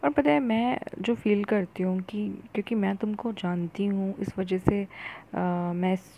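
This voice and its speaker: Dark and mellow in tone, a woman's medium-pitched voice shows ordinary pitch variation. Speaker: friend giving feedback. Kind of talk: voice note. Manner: halting.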